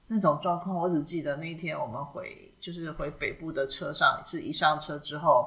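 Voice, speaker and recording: A woman with a fairly low voice speaks at a moderate pace, hardly pausing at all. Her loudness swings widely, her pitch varies in an ordinary way, and background noise is noticeable. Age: 40s. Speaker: podcast co-host. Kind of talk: casual chat.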